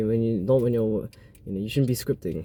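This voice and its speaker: The man's voice has a dark, mellow tone at a medium pitch. His pitch varies in an ordinary way. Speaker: podcast host. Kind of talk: casual monologue. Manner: fast.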